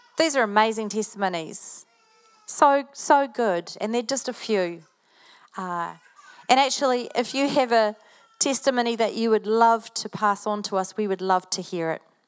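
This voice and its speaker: Using ordinary pitch variation, a woman with a New Zealand accent speaks at a fairly high pitch and a moderate pace. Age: 50s. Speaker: pastor. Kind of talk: sermon. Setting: church.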